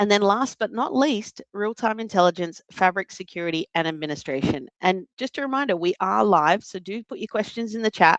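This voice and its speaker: In an Australian accent, a woman speaks at a fairly quick pace with lively intonation and a medium pitch, the sound dry and close with no echo. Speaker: data analytics trainer and presenter. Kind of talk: live webinar presentation.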